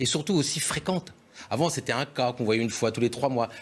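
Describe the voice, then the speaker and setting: Very fast delivery with lively intonation. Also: man. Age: 60s. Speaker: doctor and local politician. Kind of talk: TV panel debate. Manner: animated.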